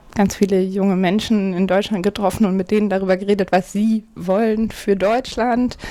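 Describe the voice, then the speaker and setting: The speaker is a woman with a medium pitch. Her intonation stays monotone and flat. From Hamburg, northern Germany. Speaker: party manager, lawyer. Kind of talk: interview. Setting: home office.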